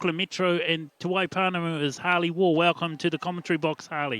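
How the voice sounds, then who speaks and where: Bright and sharp in tone, a man speaks at a moderate pace and high pitch with fairly even intonation, in a dry, close sound with no echo. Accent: New Zealand. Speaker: sports commentator. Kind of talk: live sports commentary. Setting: commentary box. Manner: halting, many fillers.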